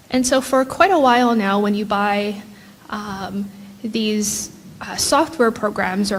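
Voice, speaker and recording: At a very slow pace, a woman with a Hawaiian accent speaks at a fairly high pitch with ordinary pitch variation, amid noticeable background noise and audible room echo. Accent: Hawaiian American English. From Hawaii, island of Hawaii. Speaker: professor. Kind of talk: conference keynote.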